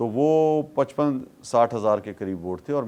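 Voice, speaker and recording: A man at medium pitch speaks with very wide pitch swings. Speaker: politician. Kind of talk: interview answer.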